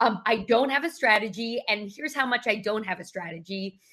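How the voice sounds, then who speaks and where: With an American accent, a woman talks at a fairly high pitch and a fairly quick pace with ordinary pitch variation. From New York. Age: 50s. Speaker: executive coach and keynote speaker. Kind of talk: interview conversation. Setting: video livestream.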